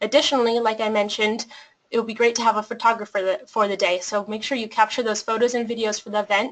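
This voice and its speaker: A woman speaks at a very fast pace. Her fairly high voice stays monotone and flat. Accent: American. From Colorado, US. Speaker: nonprofit program manager. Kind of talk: webinar presentation.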